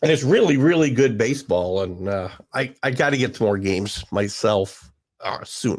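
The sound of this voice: A man in a put-on character voice, raspy and hoarse at medium pitch, lively in intonation at a moderate pace, in a very clean recording with a silent background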